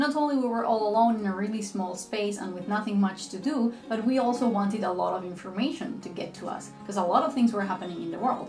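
Over faint music and audible room echo, a woman talks at a very fast pace with hardly any pauses and ordinary pitch variation. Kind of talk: casual vlog talk. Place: home room.

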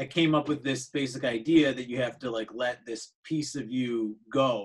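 Against a quiet background, a man is speaking. His pace is moderate and his intonation fairly even. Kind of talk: interview answer. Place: home room. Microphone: video call.

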